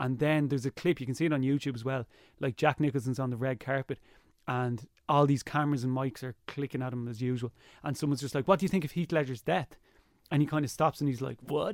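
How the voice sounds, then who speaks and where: A man with an Irish accent talks at a very fast pace and medium pitch, the sound dry and close with no echo, on a very clean recording over a silent background. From Ireland. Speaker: TV presenter and YouTuber. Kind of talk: casual chat. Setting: studio. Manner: energetic.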